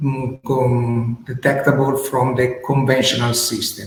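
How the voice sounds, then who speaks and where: In a room with audible echo, a man speaks at a medium pitch and a fairly slow pace. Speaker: company representative presenting a startup. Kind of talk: business presentation. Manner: halting.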